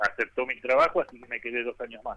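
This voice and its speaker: A normal speaking voice from a man, medium in pitch and at a fairly quick pace. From Argentina, Buenos Aires western suburbs. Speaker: sports journalist. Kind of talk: interview.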